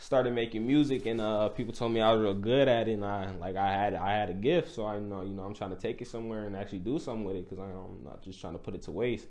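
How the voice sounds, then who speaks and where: At a very fast pace with hardly any pauses, a man speaks in a fairly low pitch with ordinary pitch variation and big swings in loudness. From Illinois, US. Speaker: rapper; interviewee. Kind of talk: casual interview. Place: studio.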